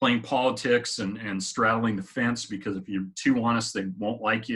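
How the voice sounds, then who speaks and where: A man talks at a fairly quick pace in a normal speaking voice. His pitch sits fairly low, and his intonation stays fairly even. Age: 50s. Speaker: motivational vlogger. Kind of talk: casual personal-development talk to camera. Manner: conversational, with frequent fillers.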